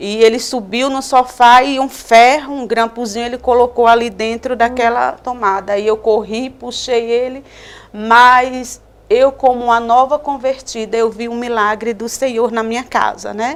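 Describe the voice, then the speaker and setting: In a high pitch, a woman speaks with monotone, flat intonation. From Northeast Brazil (Alagoas/Paraíba). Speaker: missionary. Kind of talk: religious testimony.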